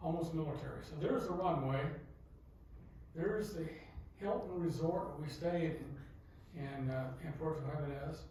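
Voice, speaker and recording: With audible room echo and noticeable background noise, a man of fairly high pitch speaks at a moderate pace, pausing long and often, his pitch varying in an ordinary way. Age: 70s. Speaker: nature photographer giving a talk. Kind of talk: slide show lecture to club audience. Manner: hesitant, many fillers.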